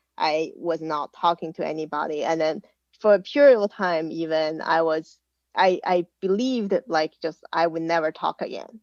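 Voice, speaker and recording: A woman with a Chinese accent speaks at a moderate pace, her fairly low pitch showing ordinary variation. The sound is dry and close with no echo, and the background is quiet. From China. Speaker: podcast guest. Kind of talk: casual chat. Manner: halting.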